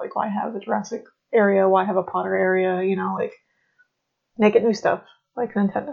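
A soft-spoken woman at a very fast pace. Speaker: podcast co-host. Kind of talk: casual chat.

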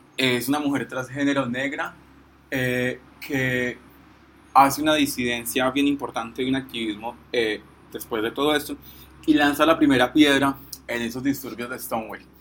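A man's voice at a moderate pace with fairly even intonation, against noticeable background noise. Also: medium pitch for a man. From Colombia, Pereira area. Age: 20s. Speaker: activist and law student. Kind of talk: informal talk. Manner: halting.

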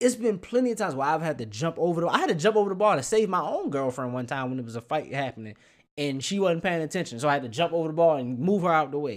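Very fast speech with very wide pitch swings. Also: man, fairly high pitch for a man. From Baltimore. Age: 20s. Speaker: podcast host, bartender. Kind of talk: casual chat.

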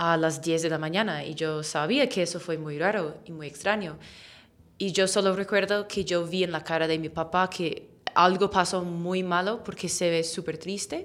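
The speaker talks at a moderate pace with an English accent. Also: woman, fairly low pitch for a woman, fairly even intonation. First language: English (speaking Spanish). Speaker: English teacher. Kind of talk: interview.

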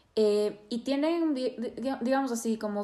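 This woman's voice is pitched fairly high. It rises and falls in an ordinary way. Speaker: psychotherapist and podcast host. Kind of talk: interview.

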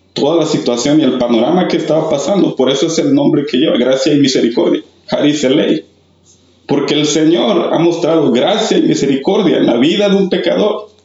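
A man's fairly high voice at a moderate pace, with ordinary pitch variation, very even loudness and noticeable background noise. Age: 30s. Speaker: church youth mentor. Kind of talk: testimony.

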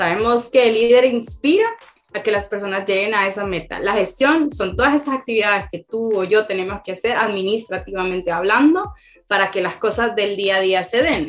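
Fairly quick, fairly high-pitched speech from a woman with lively intonation, over noticeable background noise. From Honduras, Tegucigalpa. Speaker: agile consultant. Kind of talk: interview.

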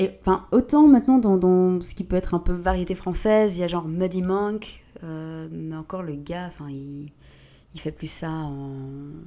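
A woman talks at a fairly slow pace in a fairly low, dark and mellow voice. Her intonation is lively. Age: 30s. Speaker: DJ. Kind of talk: casual chat.

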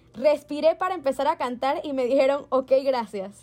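High in pitch and animated in tone, a woman talks at a moderate pace with ordinary pitch variation. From Panama. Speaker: podcast co-host and musical theatre performer. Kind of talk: casual chat.

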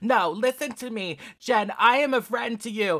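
In a raspy put-on character voice with a fairly high pitch, the speaker talks at a moderate pace.

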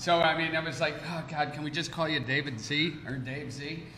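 A man with an American accent talks at a moderate pace and fairly high pitch, his intonation flat and monotone. Audible room echo and noticeable background noise fill the recording. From Chicago. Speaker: podcast host, florist. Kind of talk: casual chat. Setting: brewery speakeasy.

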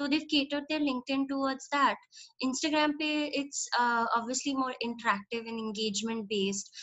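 Ordinary pitch variation runs through the speech. It moves at a fairly quick pace. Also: woman, high pitch for a woman. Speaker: brand storyteller and communications consultant. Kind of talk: podcast interview. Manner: Hindi-English code-switching.

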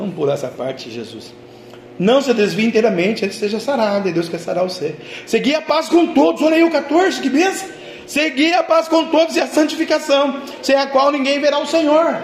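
A man with a Brazilian accent and an extremely high pitch, in an animated tone with very wide pitch swings, at a fairly quick pace over noticeable background noise. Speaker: pastor. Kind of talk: sermon. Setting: church. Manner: animated, fervent preacher in full flow, repeating phrases.

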